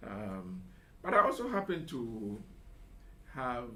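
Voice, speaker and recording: A man's very slow speech comes through noticeable background noise and an audible room echo. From Ghana, La (Accra). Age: 70s. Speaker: retired professional, school alumnus. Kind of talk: radio interview. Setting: radio studio.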